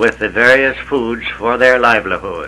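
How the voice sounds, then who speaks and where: A man speaks at a medium pitch with flat, monotone intonation. Noticeable background noise runs under his voice. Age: 70s. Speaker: retired farmer. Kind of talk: reading aloud. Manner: slow; formal.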